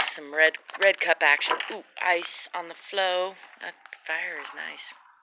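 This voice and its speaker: A woman with an American accent speaks at a fairly slow pace and a fairly low pitch, her intonation monotone and flat. Her loudness swings widely, and background noise is noticeable. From United States. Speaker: vlogger. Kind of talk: casual chat. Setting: outdoors.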